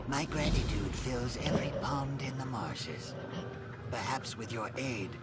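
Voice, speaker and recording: Someone performs a put-on character voice. Loud background noise fills the recording. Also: man. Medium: game stream. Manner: formal, ceremonious.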